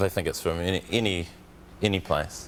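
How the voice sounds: In a New Zealand accent, a man talks with a fairly low pitch.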